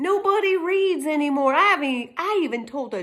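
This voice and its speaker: A woman speaks with a Texas accent and a high pitch. Her pace is fairly slow. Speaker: YouTuber. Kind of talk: casual monologue.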